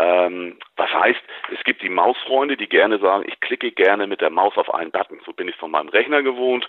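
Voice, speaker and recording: A man speaks with a northern German accent at a fairly quick pace. His loudness swings widely. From northern Germany. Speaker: assistive technology company representative. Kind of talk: product interview. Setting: phone call.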